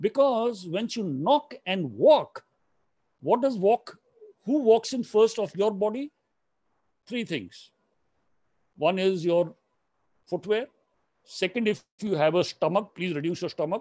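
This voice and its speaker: With a dark, mellow tone, a man talks at a fairly slow pace with very wide pitch swings and long, frequent pauses, in a dry, close sound with no echo. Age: 60s. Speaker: retired army general and former exam interviewer. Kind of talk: interactive coaching session.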